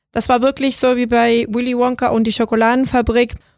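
A woman with a Spanish accent speaks at a high pitch in a monotone, flat intonation on a very clean recording with a silent background. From Venezuela. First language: Spanish (speaking German). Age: 30s. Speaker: software designer. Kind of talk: interview.

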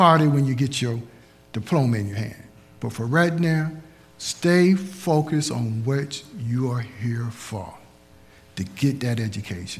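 Speaking at a fairly slow pace, a man uses lively intonation at a medium pitch. His voice is somewhat breathy. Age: 60s. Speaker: preacher. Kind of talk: sermon. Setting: church.

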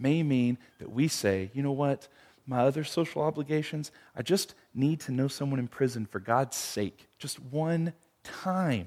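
In a plain, everyday voice, a man speaks at a fairly high pitch and a fairly slow pace, with ordinary pitch variation and big swings in loudness. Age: 30s. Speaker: pastor. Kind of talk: prayer; interactive bible study. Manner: casual.

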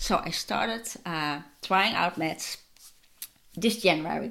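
A woman with a plain, everyday voice talks at a fairly slow pace with ordinary pitch variation. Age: 40s. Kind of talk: casual monologue.

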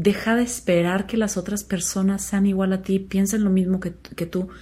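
At a moderate pace, a woman with a medium pitch speaks in a somewhat breathy voice with a dark, mellow tone. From Mexico, Chihuahua. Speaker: podcast host. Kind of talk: solo reflective talk. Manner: casual, with filler words.

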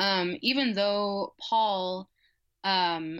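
A woman with an American accent uses an ordinary speaking voice at a medium pitch against a quiet background. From Nebraska, Lincoln. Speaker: graduate student and storyteller. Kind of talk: podcast interview.

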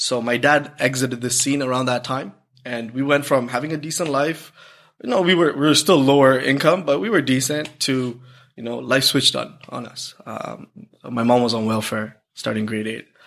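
A man with a Canadian accent speaks at a moderate pace with ordinary pitch variation, on a very clean recording with a silent background. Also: medium pitch for a man. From Toronto, Canada. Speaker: realtor. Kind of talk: casual chat. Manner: energetic.

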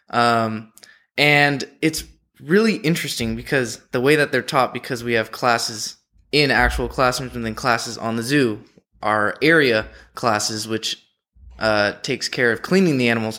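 With a Californian accent, a man speaks at medium pitch in a bright, sharp tone, keeping a moderate pace and ordinary pitch variation on a very clean recording with a silent background. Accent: Californian American. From San Diego. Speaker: zoo student keeper. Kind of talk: interview.

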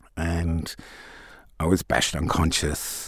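The speaker has an Australian accent. The pace is very slow. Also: man. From Tasmania, Australia. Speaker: music producer and activist. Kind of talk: interview.

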